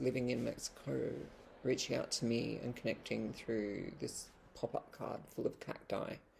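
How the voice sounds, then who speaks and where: The speaker goes at a fairly slow pace with an Australian accent. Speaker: vlogger and poet. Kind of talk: casual vlog monologue. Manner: hesitant, many fillers and restarts.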